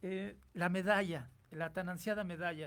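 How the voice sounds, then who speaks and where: A man's high-pitched voice with ordinary pitch variation at a fairly slow pace. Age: 60s. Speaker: radio host. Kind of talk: radio interview. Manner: halting, many fillers.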